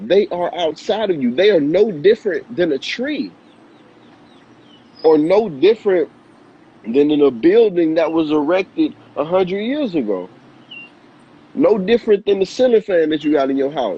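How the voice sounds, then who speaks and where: A man's animated, high-pitched voice with very wide pitch swings and long, frequent pauses, over noticeable background noise. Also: moderate pace. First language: not Spanish; Spanish is second language. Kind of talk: motivational talk in casual video chat. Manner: repetitive, halting restarts.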